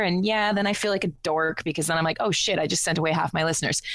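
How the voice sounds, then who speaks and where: A woman with a Canadian accent talks very fast against noticeable background noise. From Canada. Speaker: online radio show host. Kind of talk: casual chat.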